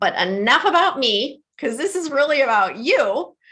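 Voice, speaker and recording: A woman's bright, sharp voice with a Midwestern accent, at a fairly slow pace over a quiet background. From US Midwest, Detroit. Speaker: trauma educator and author. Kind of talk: webinar presentation. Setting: online webinar.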